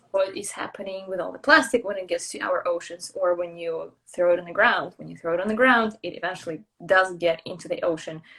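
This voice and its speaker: A woman with a Russian accent at a medium pitch, fairly quick with hardly any pauses, her loudness swinging widely and her pitch varying in an ordinary way. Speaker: traveller and brand builder. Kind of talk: casual interview chat.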